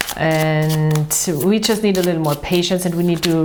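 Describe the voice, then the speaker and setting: Amid noticeable background noise and audible room echo, a woman with an Austrian accent talks fairly quickly with fairly even intonation. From Austria, Vienna. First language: German. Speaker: tarot reader. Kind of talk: tarot and astrology reading monologue. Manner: halting, with many fillers.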